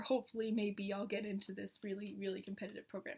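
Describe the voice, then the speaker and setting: The speaker is a woman with an American accent. A somewhat breathy quality marks her speech. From northern Kentucky, USA. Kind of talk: casual vlog talk to camera.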